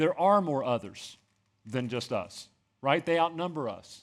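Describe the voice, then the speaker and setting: A man talks at a fairly quick pace with lively intonation, in an ordinary speaking voice. The recording is very clean with a silent background. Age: 50s. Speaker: pastor. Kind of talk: sermon.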